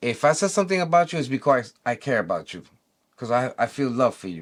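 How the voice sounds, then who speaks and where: A man with a New York accent at medium pitch, very fast and animated, with very wide pitch swings and big swings in loudness, in a very clean recording over a silent background. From New York City. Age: 60s. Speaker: e-bike community vlogger. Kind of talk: opinion monologue.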